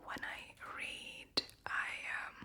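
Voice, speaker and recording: Someone is whispering. Noticeable background noise sits behind the voice. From Latvia. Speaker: ASMR creator. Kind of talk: whispered Q&A.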